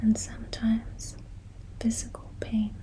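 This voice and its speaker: Someone whispers over noticeable background noise. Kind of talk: ASMR soft-spoken talk on recovery. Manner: soft-spoken.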